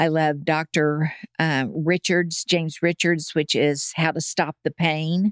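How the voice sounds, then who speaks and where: In an American accent, a woman speaks at a very deep, low pitch and a fairly slow pace. Her intonation is monotone and flat, her loudness very even, and the sound dry and close with no echo. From Oklahoma, US. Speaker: Bible teacher. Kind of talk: casual chat.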